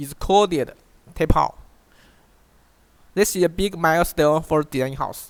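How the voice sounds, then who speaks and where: A man speaks with a Chinese accent and ordinary pitch variation. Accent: Chinese accent, notable. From China. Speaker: online course instructor. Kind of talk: tutorial. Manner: halting, frequent self-repeats.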